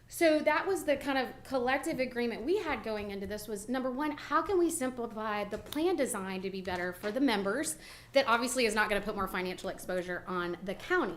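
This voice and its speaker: A woman's fairly high voice with very wide pitch swings, a fairly quick pace, hardly any pauses and audible room echo. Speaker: benefits consultant. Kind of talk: presentation to county court. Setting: county courthouse meeting. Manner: loud.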